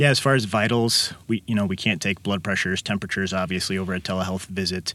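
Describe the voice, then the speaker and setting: The speaker has a Midwestern American accent and ordinary pitch variation. The pace is very fast. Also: man, very clean recording, silent background. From Illinois, Kankakee. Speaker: physician. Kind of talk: interview. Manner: hesitant, many fillers.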